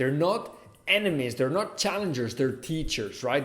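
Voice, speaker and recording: With a Catalan accent, a man speaks in lively intonation amid audible room echo. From Catalonia, Spain (Barcelona). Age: 20s. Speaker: lifestyle vlogger. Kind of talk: personal vlog monologue.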